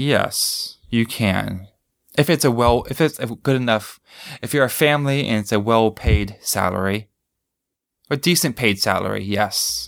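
In a plain, everyday voice, a man with an American accent talks at a fairly slow pace, medium pitch and ordinary pitch variation. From United States. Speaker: English teacher. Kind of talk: interview.

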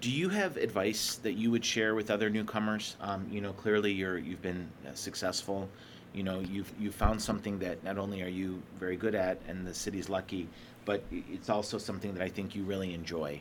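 A man speaks at a fairly quick pace in a normal speaking voice, his fairly low pitch carried with fairly even intonation. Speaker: podcast host. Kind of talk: casual interview.

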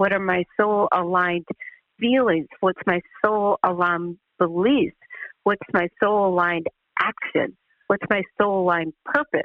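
A woman at medium pitch talks at a fairly slow pace with long, frequent pauses, ordinary pitch variation and very even loudness. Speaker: spiritual mentor and business coach. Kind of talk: interview. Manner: confident.

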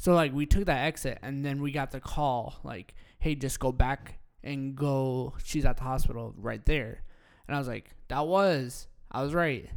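A plain, everyday voice from a man, fairly high in pitch at a moderate pace, ordinary pitch variation and big swings in loudness on a very clean recording with a silent background. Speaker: podcast co-host, coffee shop owner. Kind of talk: casual chat.

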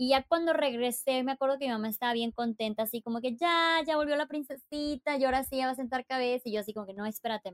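A woman's high voice races along at a very fast pace with ordinary pitch variation, the sound dry and close with no echo. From Mexico, Chiapas. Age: 30s. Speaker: travel influencer and author. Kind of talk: interview conversation. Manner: animated.

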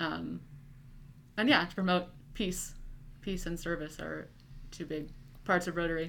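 Over audible room echo, a woman with a Midwestern American accent speaks at a moderate pace in a fairly low voice with vocal fry, fairly even intonation, and long, frequent pauses. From US Midwest, Nebraska. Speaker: college student. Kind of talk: casual chat.

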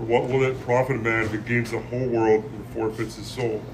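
Over noticeable background noise, a man with a medium pitch speaks at a moderate pace in monotone, flat intonation. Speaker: podcast host. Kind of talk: casual chat. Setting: coffee shop.

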